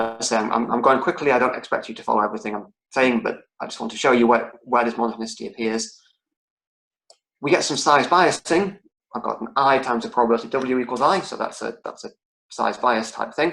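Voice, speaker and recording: A man's voice, bright and sharp, medium in pitch, at a very fast pace with big swings in loudness. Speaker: lecturer. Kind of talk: online lecture. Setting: online lecture. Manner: halting, many repetitions.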